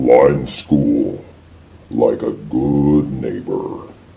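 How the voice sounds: Growling in a put-on character voice, a man speaks at a very deep, low pitch, with audible echo around him.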